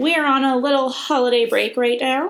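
Someone speaks at a moderate pace in a Midwestern accent. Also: woman. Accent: Midwestern twang. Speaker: podcast co-host. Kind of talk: scripted announcement; casual chat. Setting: studio. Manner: animated.

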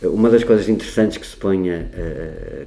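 A man speaks at a moderate pace, and audible room echo can be heard. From Portugal, Porto. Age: 50s. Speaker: political researcher and party official. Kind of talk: interview conversation. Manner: talkative.

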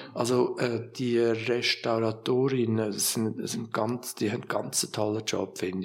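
Mid-range male speech, medium in tempo and fairly flat in intonation, with background noise clearly present. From Switzerland, Lucerne. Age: 60s. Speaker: art museum director. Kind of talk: interview. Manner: halting.

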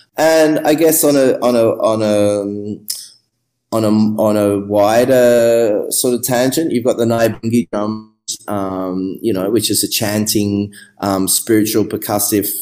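A man with an Australian accent, a dark, mellow tone and ordinary pitch variation, at a fairly slow pace. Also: medium pitch for a man. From Australia, Melbourne. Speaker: musician and music producer. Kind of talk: interview. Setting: remote call.

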